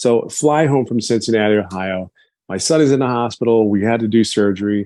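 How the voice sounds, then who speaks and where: A man talks at medium pitch and a moderate pace with ordinary pitch variation, in an ordinary speaking voice. The background is quiet. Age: 50s. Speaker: business testimonial speaker. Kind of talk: testimony.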